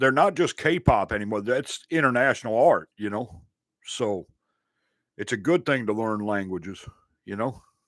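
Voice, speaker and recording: On a very clean recording with a silent background, a man talks at a moderate pace. He has a Southern US accent and lively intonation. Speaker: sports and reaction channel host. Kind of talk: casual chat. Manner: relaxed, filler-heavy.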